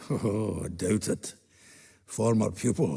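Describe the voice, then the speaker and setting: A man uses a raspy, put-on character voice with a fairly low pitch. He speaks at a fairly slow pace. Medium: video game. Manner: hearty, earthy, fond of laughing.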